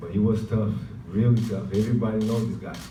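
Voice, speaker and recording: A man speaks with audible room echo. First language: Portuguese. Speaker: professional basketball player. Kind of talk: press conference.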